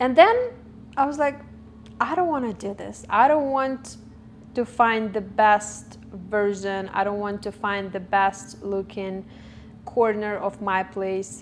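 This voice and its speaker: A woman with a non-native accent speaks at a very slow pace with long, frequent pauses, using a medium pitch and ordinary pitch variation. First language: not English. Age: 20s. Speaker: vlogger. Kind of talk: personal monologue. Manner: halting, self-correcting.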